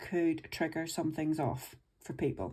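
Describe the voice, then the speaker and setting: A dark, mellow tone in a Northern Irish accent at a fairly slow pace, on a very clean recording with a silent background. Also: woman. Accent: Northern Irish (Belfast). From Northern Ireland, Belfast. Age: 50s. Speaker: budgeting vlogger. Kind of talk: personal life story monologue. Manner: casual, chatty.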